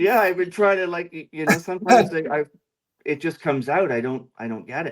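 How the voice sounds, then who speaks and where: A man with a Canadian accent talks at a fairly quick pace. He has a plain, everyday voice with lively intonation. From Canada.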